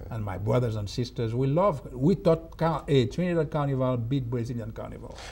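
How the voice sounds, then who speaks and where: A man with a Haitian accent speaks at a fairly quick pace. His medium pitch carries lively intonation. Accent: Haitian accent, kept. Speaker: TV talk show host. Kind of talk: TV interview.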